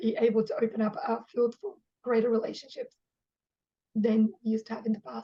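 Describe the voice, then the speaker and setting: A woman's somewhat breathy voice holds a moderate pace. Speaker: sex and relationship coach. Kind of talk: self-introduction at online wellness event. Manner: animated, passionate.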